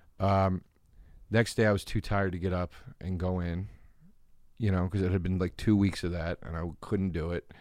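The speaker mumbles in an American accent with monotone, flat intonation. The pace is moderate, with long, frequent pauses. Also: man, very deep, low pitch for a man, very clean recording, silent background. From US East Coast. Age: 40s. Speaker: comedian. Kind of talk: casual chat. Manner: mumbling.

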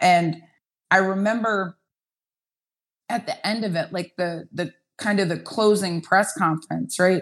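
A woman talks at a fairly slow pace and medium pitch, with ordinary pitch variation. She leaves long, frequent pauses against a quiet background. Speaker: football coach. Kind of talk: interview storytelling.

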